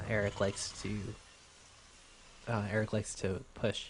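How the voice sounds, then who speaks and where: The speaker is a man with a fairly low pitch. There is a somewhat breathy quality to his voice. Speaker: amateur StarCraft 2 shoutcaster. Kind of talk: esports game commentary. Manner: casual, hesitant with frequent filler words.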